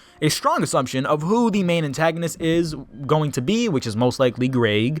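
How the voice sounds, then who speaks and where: Here a man speaks with a fairly high pitch. His intonation is lively. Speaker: gaming YouTuber. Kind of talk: casual video commentary. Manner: fast; animated.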